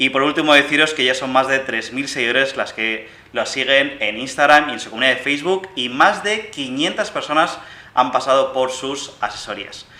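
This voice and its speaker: A man with a Castilian accent speaks at a fairly high pitch and a moderate pace. His pitch varies in an ordinary way over noticeable background noise. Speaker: podcast host. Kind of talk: show introduction; interview conversation.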